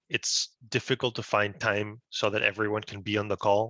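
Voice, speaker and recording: Against a quiet background, a man with a fairly low pitch and a bright, sharp tone comes across with a dry, close sound and no echo. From Peru. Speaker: business intelligence engineer. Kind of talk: webinar presentation.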